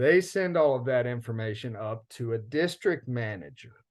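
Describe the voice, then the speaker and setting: At a moderate pace, a man is talking. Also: quiet background. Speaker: field organizer. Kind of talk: lecture. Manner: animated.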